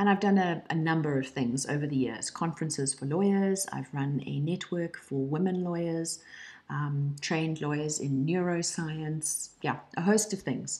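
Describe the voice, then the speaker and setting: A woman speaks at a moderate pace with a South African accent. Her pitch is very deep and low, with ordinary pitch variation. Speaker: online course instructor, lawyer trainer and coach. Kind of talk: personal introduction video.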